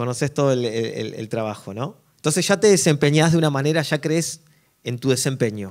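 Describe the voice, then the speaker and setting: The voice carries an Argentine accent and lively intonation at a fairly quick pace. The background is quiet. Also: man, fairly high pitch for a man. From Argentina. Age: 40s. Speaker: drummer and worship musician; speaker. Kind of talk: workshop talk to an audience. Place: stage. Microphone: handheld.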